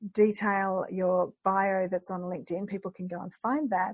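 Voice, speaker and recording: Against a quiet background, a woman with an Australian accent speaks in a somewhat breathy voice at a medium pitch. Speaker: podcast host. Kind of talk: podcast interview.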